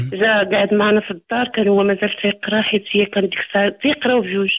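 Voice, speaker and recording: Here a woman talks at a moderate pace. Her voice sits at a medium pitch. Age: 40s. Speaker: caller. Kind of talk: personal testimony. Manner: halting.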